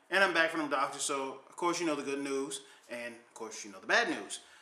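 A man speaks at a fairly quick pace with big swings in loudness, and audible room echo surrounds his voice. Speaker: vlogger. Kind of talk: casual vlog chat. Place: home room. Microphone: webcam.

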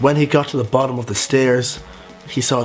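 A man with a Dublin accent at medium pitch, with faint music in the background. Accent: Dublin Irish. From Ireland. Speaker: vlogger. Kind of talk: reading own story aloud with comic asides. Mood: playful, mock-dramatic. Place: home room. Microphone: phone near.

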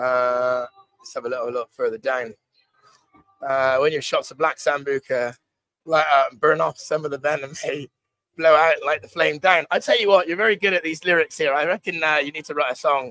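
Over a quiet background, a man with a slight West Country accent speaks at a fairly high pitch in a bright, sharp tone, with ordinary pitch variation, big swings in loudness and dry sound with no echo. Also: moderate pace. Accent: mild West Country English. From West Country, England. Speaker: stand-in live stream host. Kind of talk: casual live stream chat. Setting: live stream from a bar in Pattaya. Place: bar. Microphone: lapel.

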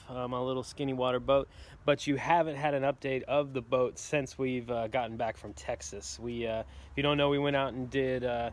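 The voice moves at a fairly quick pace with fairly even intonation, in a dry sound with no echo. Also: man. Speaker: vlogger. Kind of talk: casual vlog chat. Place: street. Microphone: phone near.

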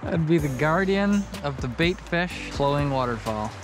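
A man at a moderate pace, with faint background noise.

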